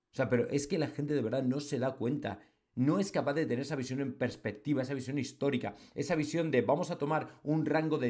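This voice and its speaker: Over a quiet background, a man talks at a fairly quick pace in an animated tone with ordinary pitch variation. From Spain. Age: 40s. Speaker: football commentator on online channel. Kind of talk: opinion monologue. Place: home room.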